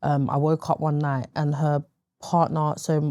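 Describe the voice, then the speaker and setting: A woman with a London accent speaks with a very deep, low pitch and a dark, mellow tone. The recording is very clean, with a silent background. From East London, England. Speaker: interview guest sharing life story. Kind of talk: interview testimony. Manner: hesitant, frequent fillers.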